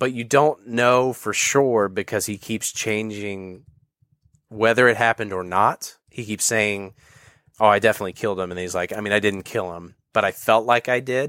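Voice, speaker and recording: A man with an American accent, fairly low in pitch, with a bright, sharp tone, fairly even intonation and a moderate pace, on a very clean recording with a silent background. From Virginia, US. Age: 20s. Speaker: comedy writer and video producer. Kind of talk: casual interview.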